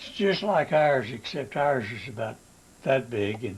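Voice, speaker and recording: The speaker is a man with a medium pitch. There is a somewhat breathy quality to his voice. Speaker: war veteran. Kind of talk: casual reminiscing to family.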